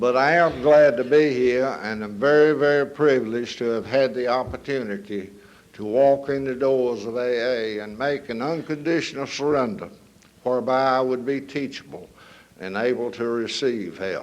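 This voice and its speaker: At a moderate pace, a man with a North Carolina accent speaks in a medium pitch with ordinary pitch variation, and audible room echo fills the space. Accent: Southern US, North Carolina. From US South, northern North Carolina. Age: 70s. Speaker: recovery speaker. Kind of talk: testimony. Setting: stage with audience.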